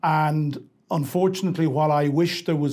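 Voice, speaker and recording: Dark, mellow tone from a man at a fairly high pitch, with fairly even intonation. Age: 60s. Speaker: Ukraine expert. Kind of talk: debate.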